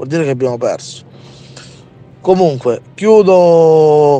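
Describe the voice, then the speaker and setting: At a fairly slow pace, a man with a plain, everyday voice speaks with ordinary pitch variation. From Calabria. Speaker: activist protester. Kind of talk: angry rant. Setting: outdoors at a protest, remote link-up. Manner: angry, indignant, stumbling and repeating words.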